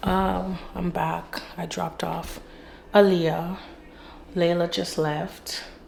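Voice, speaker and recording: A woman at a very slow pace, with long, frequent pauses and audible room echo. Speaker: vlogger, mom. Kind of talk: casual vlog narration.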